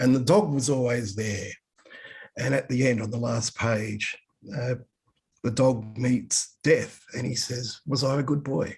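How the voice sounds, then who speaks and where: Speaking at a fairly slow pace with an Australian accent, the voice leaves long, frequent pauses. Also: man, medium pitch for a man, ordinary pitch variation. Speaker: comics historian. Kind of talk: webinar talk. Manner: animated.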